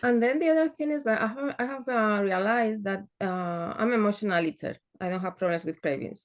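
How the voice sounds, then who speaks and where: With a Spanish accent, a woman talks at a fairly quick pace in a fairly high voice, with hardly any pauses and lively intonation. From northern Spain. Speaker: program participant. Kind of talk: coaching call question. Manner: halting, hesitant.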